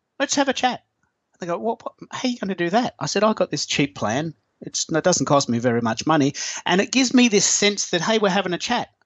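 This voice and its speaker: Speaking at a fairly quick pace with an Australian accent, a man uses a high pitch and very wide pitch swings. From Melbourne, Australia. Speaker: online business owner. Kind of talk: casual interview chat. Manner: casual, chatty, hesitant with fillers.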